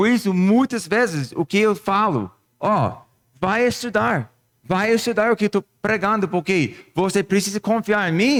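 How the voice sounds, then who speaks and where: Speaking at a fairly slow pace with a non-native accent, the voice has ordinary pitch variation and very even loudness, in a dry, close sound with no echo. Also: man, high pitch for a man. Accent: foreign accent in Portuguese. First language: not Portuguese (speaking Portuguese). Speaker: pastor. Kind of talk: sermon. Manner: halting, with false starts.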